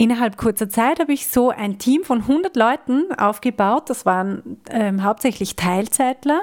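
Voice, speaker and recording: A woman with a fairly high voice speaks at a fairly slow pace with lively intonation and hardly any pauses. Her loudness stays very even, and the sound is dry and close with no echo. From Austria. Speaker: podcast host and coach. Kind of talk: personal monologue.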